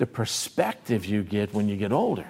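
At a moderate pace, a man speaks with fairly low pitch, vocal fry, a slightly mellow tone and a slightly husky edge.

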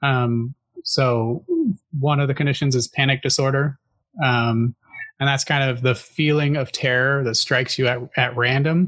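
Speaking in an American accent, a man holds a medium pitch and a moderate pace. His intonation is monotone and flat, and his loudness very even. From Northwest Washington State, US. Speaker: podcast host. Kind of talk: casual chat about mental health. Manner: hesitant, filler words, halting.

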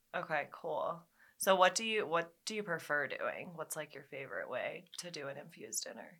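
A woman speaks at a moderate pace with big swings in loudness. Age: 20s. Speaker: podcast host. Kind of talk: casual chat. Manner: animated.

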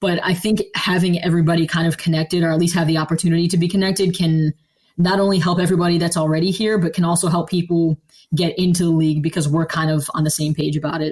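A woman with an American accent and a fairly low pitch talks at a very fast pace, somewhat breathy, with monotone, flat intonation and very even loudness. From Philadelphia area, Pennsylvania. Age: 20s. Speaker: football scouting staffer. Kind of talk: interview. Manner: hesitant, many fillers.

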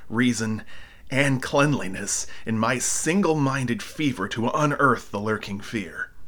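Theatrical in tone, a man speaks at medium pitch with a bright, sharp quality and ordinary pitch variation. His pace is fairly slow. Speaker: audiobook narrator. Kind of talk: dramatic first-person horror narration, reading aloud. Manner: breathless, frantic build through piled-up verbs; darkly theatrical, lingering on eerie description.

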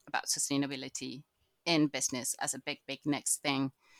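A woman with a Spanish accent talks at a moderate pace. The recording is very clean with a silent background, and the sound is dry and close with no echo. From Chile. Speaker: agricultural knowledge exchange manager. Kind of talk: casual interview.

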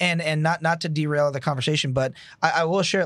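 A man with a fairly high pitch talks at a very fast pace in a very clean recording with a silent background. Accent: American. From New Jersey. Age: 20s. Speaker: business owner and financial coach. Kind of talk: casual interview chat. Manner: energetic, excited.

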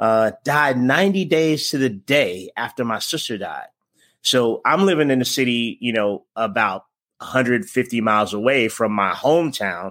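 In a normal speaking voice, a man talks at a medium pitch and a moderate pace with lively intonation. The recording is very clean, with a silent background. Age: 40s. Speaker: fitness coach. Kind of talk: casual interview.

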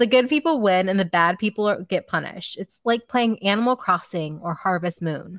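An unremarkable speaking voice at a fairly quick pace, with lively intonation and hardly any pauses. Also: woman, medium pitch for a woman. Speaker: podcast host. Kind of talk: casual chat.

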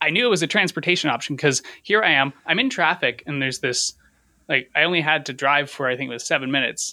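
With a Canadian accent, the voice has a bright, sharp tone and lively intonation at a fairly quick pace, the sound dry and close with no echo. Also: man. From London, Ontario, Canada. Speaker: YouTube cycling content creator. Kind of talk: casual chat.

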